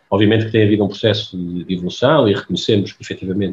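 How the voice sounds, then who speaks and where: The man speaks very fast with a fairly low pitch. His voice is somewhat breathy and his intonation fairly even. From Portugal, Aveiro. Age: 50s. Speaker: pharmaceutical executive. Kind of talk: interview.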